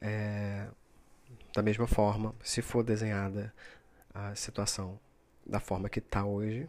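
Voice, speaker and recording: A man's fairly low, monotone, flat delivery in a very clean recording with a silent background. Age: 30s. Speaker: podcaster. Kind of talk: solo reflective monologue. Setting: recording at midnight. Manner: hesitant, many fillers.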